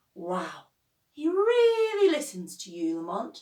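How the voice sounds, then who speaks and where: A high, put-on character voice at a fairly slow pace, with very wide pitch swings. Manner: fake admiration, sarcastic.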